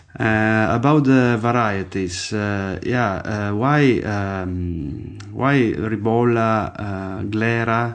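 Very slowly, a man speaks at a fairly low pitch with an Italian accent. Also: ordinary pitch variation. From Friuli, northeastern Italy (Slovenian border). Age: 30s. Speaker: winemaker. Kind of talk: casual interview. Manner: halting, with many fillers.

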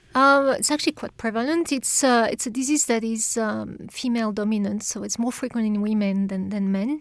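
A woman's fairly high voice at a moderate pace with a French accent, in a very clean recording with a silent background. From France. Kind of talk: interview. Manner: halting.

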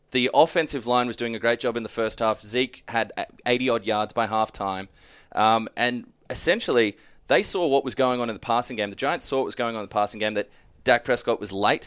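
A man with an Australian accent speaks at a fairly quick pace and medium pitch in a very clean recording with a silent background. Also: ordinary pitch variation. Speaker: sports podcast host. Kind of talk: casual chat.

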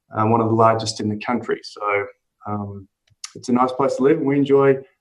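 With an Australian accent, a man speaks in a fairly even intonation. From Sydney, Australia. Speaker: meat import executive. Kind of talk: interview.

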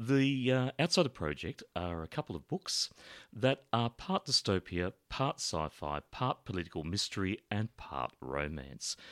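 In an Australian accent, a man speaks fairly low and fairly slowly. His pitch swings very widely, and the recording is very clean with a silent background. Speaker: podcast host. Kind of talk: podcast introduction and outro, casual chat.

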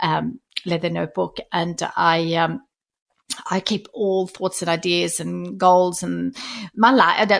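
At a very slow pace, a woman speaks with a Swedish accent. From Sweden. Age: 40s. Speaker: stationery brand founder and author. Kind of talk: casual interview conversation. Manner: halting, with repeated words.

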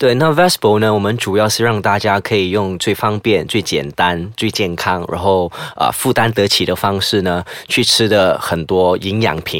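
A man talks in an ordinary speaking voice, fairly low in pitch. His pace is moderate and his pitch variation ordinary. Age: 30s. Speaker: entrepreneur. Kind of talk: interview.

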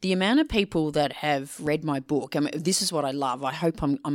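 With an Australian accent, a woman speaks at a moderate pace in a very deep, low pitch with ordinary pitch variation, recorded very cleanly against a silent background. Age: 50s. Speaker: leadership communication consultant and author. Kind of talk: podcast interview.

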